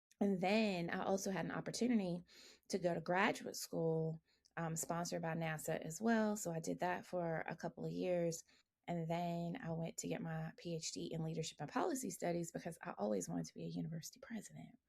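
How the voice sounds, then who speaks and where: A somewhat breathy woman with a Southern US accent talks at a fairly quick pace and fairly low pitch, with ordinary pitch variation. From US South, rural Alabama. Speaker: engineering professor. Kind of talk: podcast interview.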